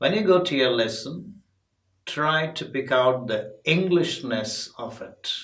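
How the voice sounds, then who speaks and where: A man talks at a very slow pace. His pitch is fairly high, with lively intonation. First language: Tamil. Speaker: English pronunciation teacher. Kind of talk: tutorial. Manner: clear, deliberate.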